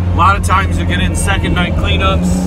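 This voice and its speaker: A man at a moderate pace, dry and echo-free, over loud background noise. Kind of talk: casual work narration. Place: car. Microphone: camera far.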